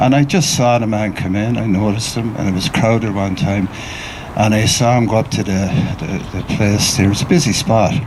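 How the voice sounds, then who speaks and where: A man with an Irish accent, fairly low pitch, ordinary pitch variation and a moderate pace, amid audible room echo and noticeable background noise. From Ireland. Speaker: mourner sharing memories at a memorial. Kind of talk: eulogy, informal remembrance speech. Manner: halting, repetitive.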